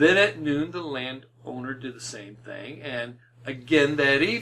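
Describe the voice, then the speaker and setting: Fairly high man's voice with ordinary pitch variation and big swings in loudness, at a fairly slow pace over noticeable background noise. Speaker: preacher. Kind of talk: sermon.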